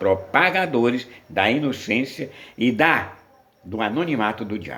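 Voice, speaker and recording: A man at a medium pitch with lively intonation and audible room echo. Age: 70s. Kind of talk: sermon.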